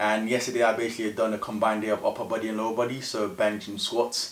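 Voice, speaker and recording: A man speaks at a very fast pace in a fairly low pitch. Noticeable background noise is present. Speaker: powerlifting vlogger. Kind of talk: casual vlog voiceover.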